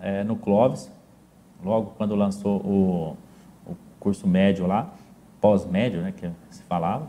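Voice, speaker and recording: This man's voice sits fairly low. It has a dark, mellow tone. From southern Minas Gerais, Brazil (São Sebastião do Paraíso). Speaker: businessman. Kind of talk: interview, life story. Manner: halting, repeats words.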